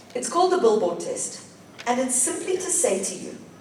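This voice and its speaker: A woman speaks with audible room echo. Noticeable background noise is also present. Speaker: digital law expert, conference speaker. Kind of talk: conference talk.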